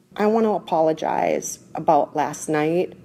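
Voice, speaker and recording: A woman with a Minnesota accent speaks at a fairly slow pace, her very deep, low pitch carrying a dark, mellow tone. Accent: Minnesotan American English. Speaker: podcast host. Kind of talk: casual chat.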